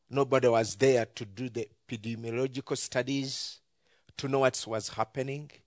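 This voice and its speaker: A man talks at a moderate pace and medium pitch in a monotone, flat intonation, with a dry, close sound, no echo and a quiet background. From Uganda. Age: 40s. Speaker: ministry leader and pastor. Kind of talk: church talk sharing testimony and mission. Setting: church with audience.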